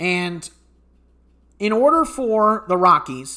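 In a very clean recording with a silent background, a man projects a raised, high-pitched voice with a bright, sharp tone and lively intonation. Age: 20s. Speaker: sports podcast host. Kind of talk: solo sports analysis podcast. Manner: halting, frequent self-corrections.

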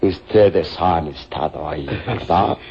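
A man puts on a character voice with vocal fry, speaking at a very slow pace with a low pitch and a dark, mellow tone.

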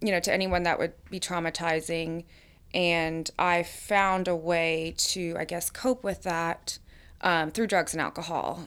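A woman with an American accent, fairly low pitch, a very slow pace and fairly even intonation, on a very clean recording with a silent background. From US South, Atlanta, Georgia. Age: 30s. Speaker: recovering alcoholic sharing her story. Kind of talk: recovery testimony.

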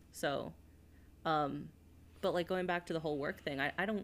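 A woman speaks at a very fast pace with vocal fry. Her pitch is very deep and low, with ordinary variation. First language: Spanish. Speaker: podcast co-host. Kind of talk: casual chat.

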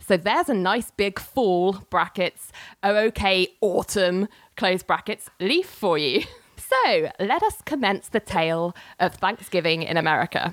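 With a London accent, a woman talks at a fairly slow pace in a medium-pitched voice, with ordinary pitch variation and very even loudness, on a dry, close, very clean recording with a silent background. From London, UK. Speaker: podcast host. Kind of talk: storytelling, reading out old emails.

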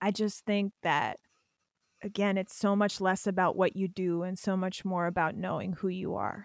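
Against a silent background in a very clean recording, a woman with an American accent talks at a moderate pace in a monotone, flat intonation. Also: medium pitch for a woman, dry, close sound with no echo. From Pennsylvania. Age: 30s. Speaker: podcast host. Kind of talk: casual interview chat. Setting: podcast recording.

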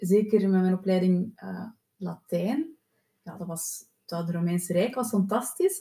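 Her dark, mellow voice sits at a medium pitch, somewhat breathy, as the woman talks at a fairly slow pace. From Flanders, Belgium. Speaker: podcast host, therapist. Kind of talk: interview.

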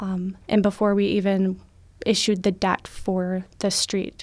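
With an American accent, the voice comes through on a very clean recording against a silent background. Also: woman. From Minnesota (Ogilvie area). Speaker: city government administrator, Navy veteran. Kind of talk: radio interview.

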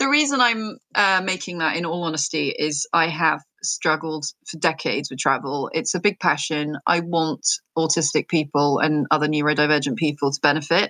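With an English accent, a woman speaks at a moderate pace in a very deep, low pitch with a bright, sharp tone and ordinary pitch variation. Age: 40s. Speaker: neurodiversity entrepreneur. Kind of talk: interview.

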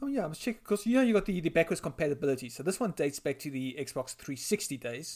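Recorded very cleanly against a silent background, a man with a South African accent and a fairly high pitch speaks at a very fast pace with hardly any pauses, very wide pitch swings and big swings in loudness. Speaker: editor of gaming website, co-host. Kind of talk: casual chat.

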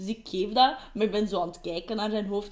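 A woman is speaking. She has a Flemish accent. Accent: Flemish Dutch. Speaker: podcast co-host. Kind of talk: casual chat.

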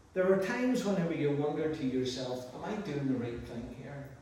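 A man speaks with lively intonation at a moderate pace over noticeable background noise. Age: 60s. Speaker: pastor. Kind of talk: sermon. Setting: church.

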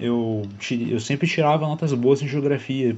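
His pitch is medium. The man keeps to a moderate pace. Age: 20s. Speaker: solo podcaster. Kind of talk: casual monologue. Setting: at home. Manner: halting.

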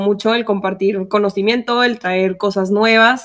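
A woman with a Mexican accent speaks at a fairly slow pace in a monotone, flat intonation. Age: 20s. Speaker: podcast co-host, engineer and tap dancer. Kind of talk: casual chat. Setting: studio.

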